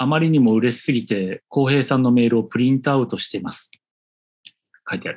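This man has an unremarkable speaking voice at a medium pitch with ordinary pitch variation. He moves along at a fairly quick pace. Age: 40s. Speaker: designer, podcast co-host. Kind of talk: casual chat.

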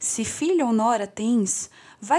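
On a very clean recording with a silent background, a woman talks at a fairly high pitch. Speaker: podcast co-host and narrator. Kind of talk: dramatic storytelling narration. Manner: theatrical, dramatic, voicing characters.

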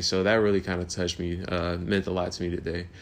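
A man speaks at a fairly quick pace. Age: 20s. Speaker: podcast host. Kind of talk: casual solo monologue. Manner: halting, full of fillers and repeated words.

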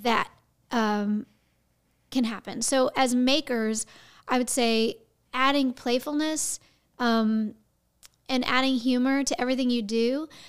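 A woman's high-pitched voice with an American accent, fairly slow, with long, frequent pauses, very even loudness and fairly even intonation. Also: very clean recording, silent background. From Houston, Texas. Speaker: actress and voice actress. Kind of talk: casual interview chat.

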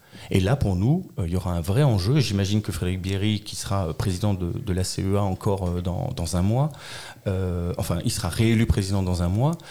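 A man's fairly low, somewhat breathy voice, dark and mellow in tone, at a moderate pace. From Alsace, France. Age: 40s. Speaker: local politician, election candidate. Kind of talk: political interview.

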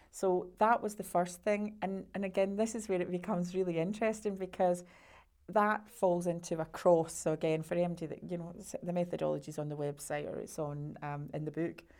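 In a Scottish accent, a woman speaks with a fairly low pitch. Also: fairly even intonation, fairly quick pace. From Scotland. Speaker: sales coach and entrepreneur. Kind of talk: interview.

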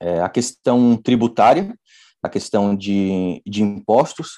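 A man's dark, mellow tone comes through in a dry, close sound with no echo. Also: quiet background. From Brazil, São Paulo. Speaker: entrepreneur. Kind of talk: interview. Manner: hesitant, many fillers.

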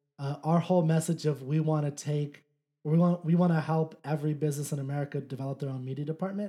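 Very fast and monotone, a man talks with a fairly high pitch and a dark, mellow, somewhat breathy tone. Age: 30s. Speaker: podcast host. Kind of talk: casual chat. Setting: studio.

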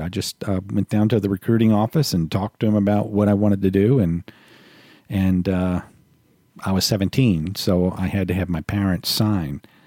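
A man with an American accent speaks at a moderate pace, his fairly low pitch showing ordinary variation and his tone dark and mellow, in a dry, close sound with no echo on a very clean recording with a silent background. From US South, New Orleans. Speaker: military veteran. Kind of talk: casual chat.

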